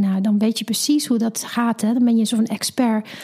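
A woman's somewhat breathy, dark, mellow voice at a fairly quick pace, with an English accent. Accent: English-accented Dutch. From England. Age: 40s. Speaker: mother sharing birth story. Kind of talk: personal storytelling interview. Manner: halting.

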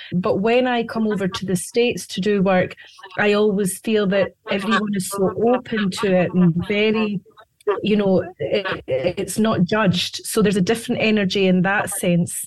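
Speaking with a Scottish accent, a woman keeps a medium pitch, fairly even intonation, very even loudness and a moderate pace. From Scotland. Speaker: psychic medium. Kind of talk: interview with on-air readings.

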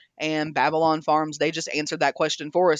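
A woman speaks with an American accent. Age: 30s. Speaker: executive chef. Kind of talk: casual interview.

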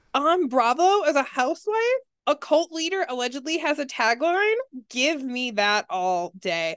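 Her voice has a high pitch with very wide pitch swings. The woman speaks at a moderate pace. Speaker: guest co-host. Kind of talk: casual chat.

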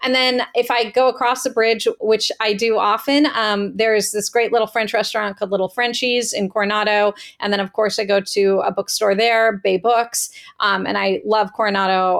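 On a very clean recording with a silent background, a woman speaks at a moderate pace with medium pitch and fairly even intonation. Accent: American. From Northern California, Marin County. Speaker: romance novelist. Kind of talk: interview. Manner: hesitant, many fillers.

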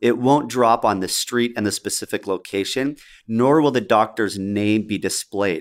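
On a very clean recording with a silent background, a man with a fairly low pitch speaks at a moderate pace with ordinary pitch variation. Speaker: podcast host and dental CPA. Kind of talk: casual chat. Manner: animated.

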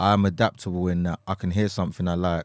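With a London accent, a man talks at a moderate pace in a very deep, low, flat monotone, recorded very cleanly against a silent background. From Essex, England. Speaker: rapper. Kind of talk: casual chat.

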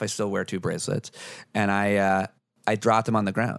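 A man with an American accent speaks in an ordinary speaking voice at a fairly low pitch and a fairly quick pace. The sound is dry and close with no echo, on a very clean recording with a silent background. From rural US, Syria, New York. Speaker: former personal trainer and podcaster. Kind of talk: casual chat. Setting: host's kitchen.

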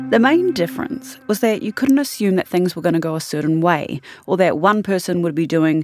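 Over music in the background, a woman with a New Zealand accent talks at a fairly quick pace in a fairly low pitch, her pitch swinging very widely. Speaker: podcast host. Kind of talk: scripted narration.

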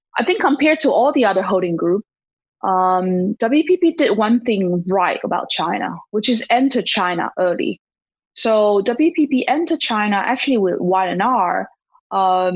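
With a Taiwanese accent, a woman speaks at a medium pitch and a fairly slow pace. Her intonation is lively, and her loudness stays very even. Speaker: marketing executive and startup investor. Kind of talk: interview. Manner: hesitant, with frequent fillers.

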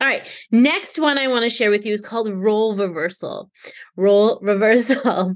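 With a Canadian accent, a woman speaks at a moderate pace in a fairly high pitch, her tone energetic and enthusiastic, with ordinary pitch variation. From Canada. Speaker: podcast host and leadership trainer. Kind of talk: solo podcast monologue. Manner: energetic, enthusiastic.

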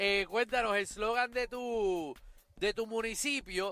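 At a very slow pace, the voice is raised and projected, with a bright, sharp tone. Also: man. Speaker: radio host. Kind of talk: casual chat. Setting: on-location live remote broadcast.

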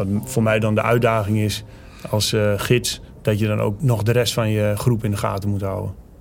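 A man's fairly low voice at a moderate pace, fairly even in intonation, with audible room echo. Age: 40s. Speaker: army commando instructor. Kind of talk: interview. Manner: hesitant, many filler sounds.

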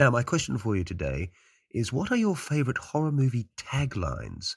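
A man with an Australian accent and very wide pitch swings. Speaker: listener caller. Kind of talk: voicemail message.

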